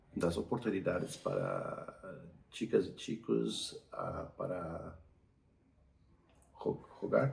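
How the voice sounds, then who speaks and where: Very slow speech with long, frequent pauses and big swings in loudness, over noticeable background noise. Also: man. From Brazil. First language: Portuguese (speaking Spanish). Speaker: doctor. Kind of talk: interview. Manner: halting.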